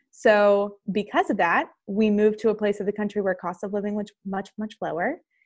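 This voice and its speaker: A woman with an American accent speaks in a fairly high pitch, in a normal speaking voice. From western Pennsylvania. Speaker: sales coach. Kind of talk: casual interview chat.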